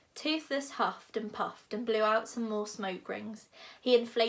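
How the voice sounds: Natural reading voice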